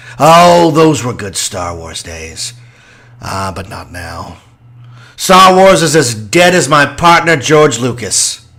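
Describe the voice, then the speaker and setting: Using a put-on character voice, a man speaks at a fairly slow pace with fairly high pitch, very wide pitch swings and big swings in loudness. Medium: audio drama. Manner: grumpy, scornful.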